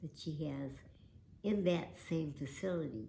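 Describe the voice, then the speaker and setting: A woman's very deep, low voice, somewhat breathy, dark and mellow in tone, with ordinary pitch variation. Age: old. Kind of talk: personal testimony.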